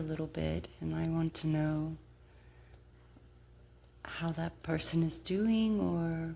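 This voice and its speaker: The speaker is soft-spoken, with a relaxed tone and a very slow pace. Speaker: ASMR creator. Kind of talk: ASMR whispered-style ramble to camera while playing a card game. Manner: soft-spoken, relaxed.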